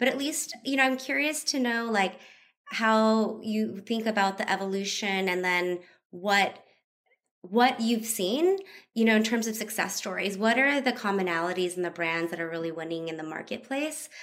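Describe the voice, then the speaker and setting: In a very clean recording with a silent background, a woman with a plain, everyday voice speaks at a moderate pace, her fairly high pitch moving with lively intonation. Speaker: podcast co-host. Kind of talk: casual interview. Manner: casual, giggly.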